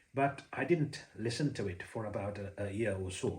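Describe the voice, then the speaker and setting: A somewhat breathy man's voice with ordinary pitch variation, in audible room echo. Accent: Sri Lankan. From Sri Lanka. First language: Sinhala. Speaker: Buddhist preacher. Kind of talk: personal story monologue. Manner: hesitant, many fillers.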